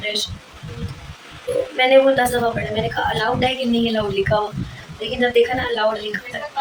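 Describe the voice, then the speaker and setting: A high-pitched woman over noticeable background noise. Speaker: vlogger, hospital health worker. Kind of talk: casual vlog chat.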